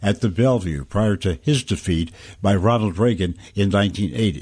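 With an unremarkable speaking voice, a man talks at a fairly quick pace and fairly low pitch with ordinary pitch variation against a quiet background. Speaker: radio commentator. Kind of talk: news commentary read aloud, newsreading. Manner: measured, formal, steady broadcaster delivery.

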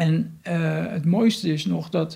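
With a dark, mellow tone, a man speaks with ordinary pitch variation. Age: 50s. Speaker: recovering addict. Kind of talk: testimony. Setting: his home. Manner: halting.

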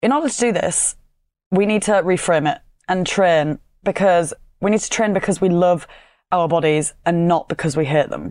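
With a Yorkshire accent, a woman speaks at a fairly low pitch with ordinary pitch variation. Her long, frequent pauses stand out against a quiet background. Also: moderate pace. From Yorkshire, northern England. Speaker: fitness coach and podcast host. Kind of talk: solo podcast monologue.

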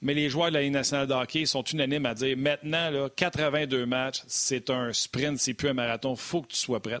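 Fairly even intonation at a moderate pace with hardly any pauses, in a dry, close sound with no echo. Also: man, fairly high pitch for a man. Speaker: sports talk show co-host. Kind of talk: casual chat.

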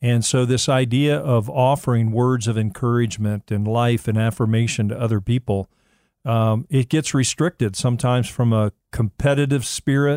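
In a dark, mellow tone at a medium pitch, a man speaks at a moderate pace with ordinary pitch variation, on a very clean recording with a silent background and a dry, close sound with no echo. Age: 60s. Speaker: men's ministry mentor. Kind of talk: casual chat.

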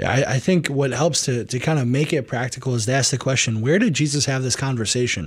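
A man's somewhat breathy, medium-pitched voice at a very fast pace, with very even loudness and hardly any pauses. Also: ordinary pitch variation. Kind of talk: spiritual direction on call-in radio.

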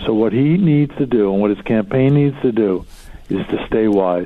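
A man speaks with an American accent at a moderate pace. He has a plain, everyday voice. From Philadelphia. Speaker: author and business executive. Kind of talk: interview.

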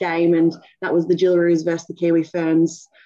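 This woman speaks in an Australian accent at a fairly quick pace. Her voice sits fairly low in pitch, with a dark, mellow tone. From Australia, Sydney (Cronulla). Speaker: rugby league player and team captain. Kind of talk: interview. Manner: halting, many fillers.

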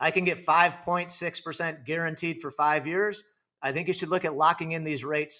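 The voice has a bright, sharp tone in a very clean recording with a silent background. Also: man. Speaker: financial advisor.

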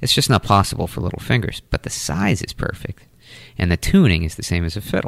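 With an American accent, a man races along at a very fast pace, his very deep, low voice showing ordinary pitch variation. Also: dry, close sound with no echo. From Taunton, Massachusetts (New England). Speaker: musician and music teacher. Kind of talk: casual interview. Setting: studio.

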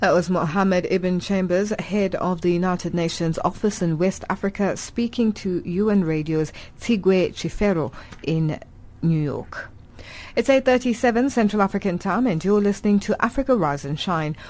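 A woman's normal speaking voice at medium pitch, with ordinary pitch variation and a moderate pace. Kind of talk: radio newsreading, live broadcast bulletin intro. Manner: formal, measured, clear broadcast delivery.

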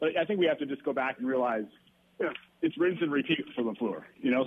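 With an American accent, a man talks very fast and his pitch swings very widely. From Wisconsin. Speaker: radio show caller. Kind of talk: casual chat.

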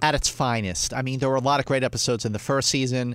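A man with a Philadelphia accent at medium pitch and a fairly quick pace, on a very clean recording with a silent background. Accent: Philadelphia American. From US, Northeast Philadelphia. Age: 40s. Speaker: film critic and fan convention figure. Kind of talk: casual chat.

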